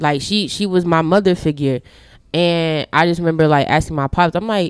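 In a very clean recording with a silent background, a woman with a normal speaking voice speaks at a moderate pace and a fairly low pitch. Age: 20s. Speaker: YouTuber. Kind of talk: personal testimony in casual chat.

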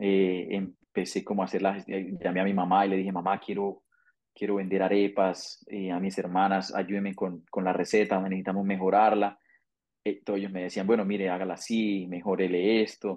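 This man's very deep, low voice stays monotone and flat at a moderate pace. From Colombia, Santander. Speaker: migrant, accountant and arepa business owner. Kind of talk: interview, personal story. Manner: halting, frequent word repetitions.

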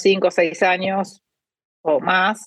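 A woman of medium pitch talks at a very slow pace. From Argentina. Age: 50s. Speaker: cancer researcher and biotech startup founder. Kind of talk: interview. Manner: hesitant, many fillers.

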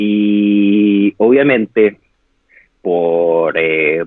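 The speaker is a man. His pitch is fairly low. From Chile. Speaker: interviewee on quarantine life. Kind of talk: interview over live video.

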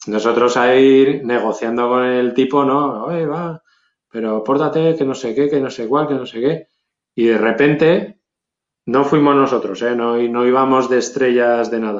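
At a fairly slow pace, a man talks in an unremarkable speaking voice of medium pitch with fairly even intonation. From Zaragoza, Spain. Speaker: hip hop producer. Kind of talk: casual interview.

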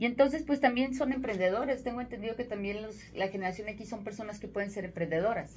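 With a Mexican accent, a woman speaks very fast in a fairly high pitch with ordinary pitch variation. Her loudness swings widely, and background noise is noticeable. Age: 40s. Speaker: sales consultant and radio host. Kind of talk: radio interview.

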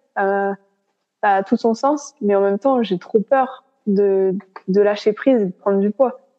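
This woman keeps a medium pitch and fairly even intonation. Her pace is fairly slow. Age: 20s. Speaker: law student sharing eating disorder experience. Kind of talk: casual interview, personal testimony. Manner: halting, many hesitations.

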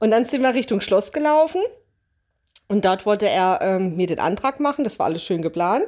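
Lively intonation at a moderate pace comes through on a very clean recording with a silent background. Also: woman. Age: 30s. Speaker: bride-to-be, theme park horror actor. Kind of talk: casual chat.

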